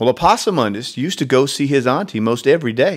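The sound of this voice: Lively intonation in an unforced reading voice.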